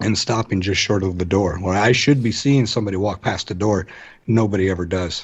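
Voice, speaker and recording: A man with an American accent, fairly low in pitch, somewhat breathy and fairly quick in pace. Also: fairly even intonation. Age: 40s. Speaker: paranormal podcaster. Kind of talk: casual chat. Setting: radio show.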